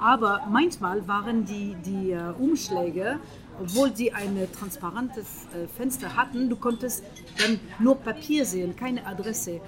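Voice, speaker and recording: Against noticeable background noise, a woman with a French accent speaks at a fairly slow pace, her fairly high pitch showing ordinary variation. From France. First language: French (speaking German). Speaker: interviewee. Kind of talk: casual interview. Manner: halting, with many hesitations.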